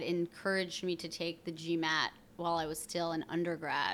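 Bright and sharp in tone, a woman with a fairly low pitch speaks at a moderate pace in a very clean recording with a silent background. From Vermont, outside Burlington. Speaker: startup co-founder. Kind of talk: casual interview.

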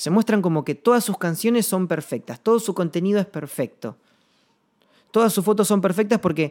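A man speaks at a high pitch with an Argentine accent and ordinary pitch variation. The recording is very clean, with a silent background and a dry, close sound with no echo. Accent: Rioplatense Argentine Spanish. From Argentina, Patagonia (Chubut). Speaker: singer-songwriter podcaster. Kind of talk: reflective monologue. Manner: halting, repeats words.

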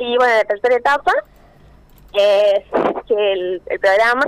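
A woman's fairly high voice at a moderate pace, ordinary pitch variation, and a dry, close sound with no echo. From Argentina, Córdoba province (Villa del Rosario). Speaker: chemical engineer and doctoral researcher. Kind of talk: radio interview.

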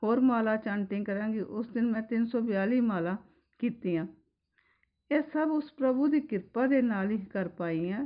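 Speaking with a Punjabi accent, a woman has a fairly high pitch and ordinary pitch variation. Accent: Punjabi-accented Hindi. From Punjab, India (Pathankot). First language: Punjabi (speaking Hindi). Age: 60s. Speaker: spiritual devotee, housewife. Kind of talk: personal testimony.

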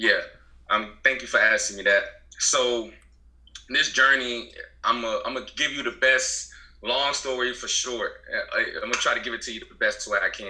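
A man with an American accent talks at a moderate pace, with long, frequent pauses. His loudness swings widely. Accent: Southern US, Gullah Geechee Low Country. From US South, Beaufort, South Carolina Low Country. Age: 20s. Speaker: herbalist business owner. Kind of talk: casual interview.

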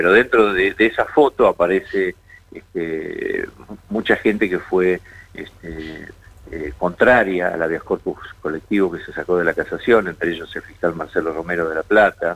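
Big swings in loudness run through this man's moderately paced speech. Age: 60s. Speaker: judge. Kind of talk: radio interview.

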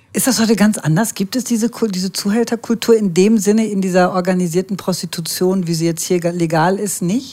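Over noticeable background noise, a woman talks at a fairly quick pace with hardly any pauses. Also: medium pitch for a woman, ordinary pitch variation. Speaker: podcast host. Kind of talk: scripted narration; casual chat. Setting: walking outdoors.

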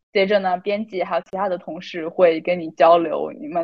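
A woman speaks in a plain, everyday voice at a medium pitch. Her pace is moderate. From China. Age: 20s. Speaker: student intern journalist. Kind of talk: casual chat.

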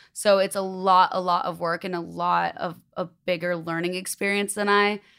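A woman with an American accent and an unremarkable speaking voice talks at a moderate pace and medium pitch, with ordinary pitch variation, on a very clean recording with a silent background. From Chicago. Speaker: influencer and clothing brand founder. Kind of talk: casual chat. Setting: studio.

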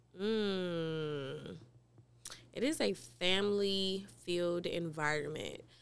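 In an American accent, a woman speaks at a very slow pace with a fairly low pitch and ordinary pitch variation, with audible room echo. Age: 30s. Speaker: fitness trainer and gym owner. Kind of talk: podcast interview, casual chat. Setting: studio.

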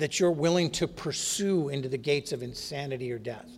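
With an Upper Midwest accent, a man speaks at a moderate pace in a fairly high pitch with ordinary pitch variation. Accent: Upper Midwest American. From North Dakota. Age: 50s. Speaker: AA conference speaker. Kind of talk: recovery testimony talk. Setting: stage with audience at a podium.

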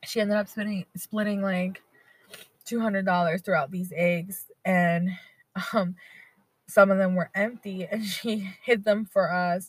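A somewhat breathy woman at a medium pitch, fairly slow and fairly even in intonation, with long, frequent pauses. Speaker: podcast host. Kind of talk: casual solo monologue. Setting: in a car. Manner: relaxed, many fillers.

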